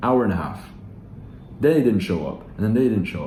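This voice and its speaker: There is audible room echo around this man's somewhat breathy voice, which has a dark, mellow tone and ordinary pitch variation. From Philippines-born, raised elsewhere. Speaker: online sales coach. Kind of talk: casual vlog talk to camera. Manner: casual, with many fillers and restarts.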